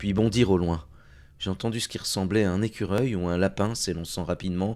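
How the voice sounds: A natural reading voice carries this recording.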